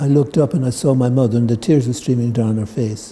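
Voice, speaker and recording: Somewhat breathy and dark, mellow in tone, a man talks at a fairly quick pace with medium pitch. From Ireland. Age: 70s. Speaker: tai chi teacher. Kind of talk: talk to a group. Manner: hesitant, with many fillers.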